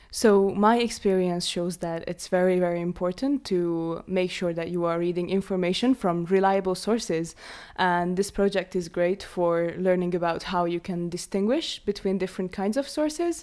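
A woman's medium-pitched voice in a Hungarian accent, at a moderate pace with hardly any pauses and ordinary pitch variation. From Hungary. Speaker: art student. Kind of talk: casual chat.

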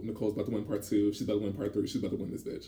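Fairly low and somewhat breathy, this man's voice has a dark, mellow tone. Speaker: podcast co-host. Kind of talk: casual chat. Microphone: poor audio environment.

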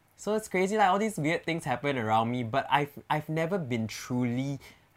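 With a Singaporean accent, a man talks at a moderate pace. His fairly high pitch swings very widely. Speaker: influencer. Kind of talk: casual chat.

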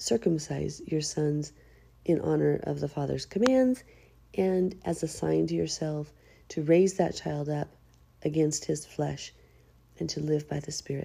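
In a put-on character voice, a raspy woman with a very deep, low pitch speaks at a moderate pace with long, frequent pauses. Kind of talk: reading scripture aloud.

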